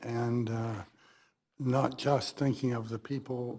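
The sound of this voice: A man's voice carries a slightly husky edge and a slightly mellow tone, with fairly even intonation.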